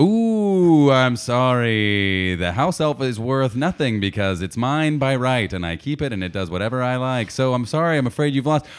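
At a moderate pace, a man uses a normal speaking voice with medium pitch and lively intonation. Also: hardly any pauses. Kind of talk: infomercial parody. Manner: bright, over-the-top salesman cheer.

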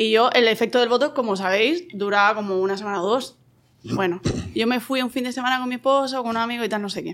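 This woman speaks very fast with a Spanish accent, her pitch fairly high and her pitch variation ordinary. The recording is very clean, with a silent background. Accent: Spanish (Spain). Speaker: podcast guest. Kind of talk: casual chat.

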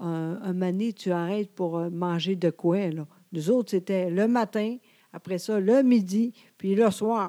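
In a Quebec accent, a woman speaks at a very slow pace with a medium pitch, ordinary pitch variation and a dark, mellow tone, recorded very cleanly with a silent background and a dry, close sound with no echo. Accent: Québécois French. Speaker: podcast co-host. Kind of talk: casual chat. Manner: trying to speak slowly, sometimes halting.

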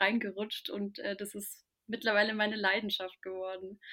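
Her pitch fairly high, a woman speaks at a fairly quick pace in a somewhat breathy voice. Her intonation stays fairly even. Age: 20s. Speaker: spiritual content creator. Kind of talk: casual chat.

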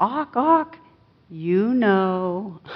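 Using a put-on character voice, a woman talks at a medium pitch. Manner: squawking.

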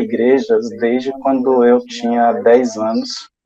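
An unremarkable speaking voice. It moves at a fairly slow pace. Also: man. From Bahia interior, Brazil. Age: 40s. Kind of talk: testimony.

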